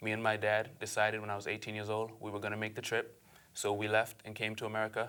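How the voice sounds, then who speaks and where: Speaking very fast in an Aruban accent, a man with a fairly low pitch uses a bright, sharp tone and flat, monotone intonation. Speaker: entrepreneur. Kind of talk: interview.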